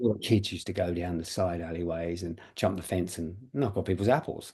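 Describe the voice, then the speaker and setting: A man with a very deep, low pitch, dark, mellow tone and somewhat breathy quality, ordinary pitch variation and a fairly quick pace, over a quiet background. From London, England. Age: 70s. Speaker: actor. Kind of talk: interview.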